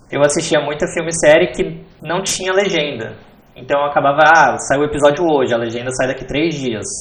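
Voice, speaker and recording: Noticeable background noise and audible room echo surround a man's voice. He talks at a fairly quick pace with ordinary pitch variation. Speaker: backend developer. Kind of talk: podcast interview.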